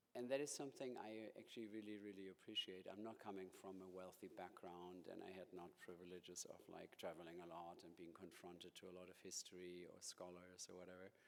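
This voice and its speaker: With a German accent, a man talks at a fairly quick pace with hardly any pauses, his very deep, low pitch held to fairly even intonation. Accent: German accent (jokingly called New York). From Germany. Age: 50s. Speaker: museum director. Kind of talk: lecture.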